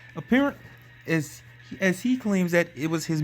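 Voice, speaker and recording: Music plays in the background. Over it, a man talks with lively intonation. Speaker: YouTube commentator. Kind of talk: commentary video narration. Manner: stuttering, frequent pauses.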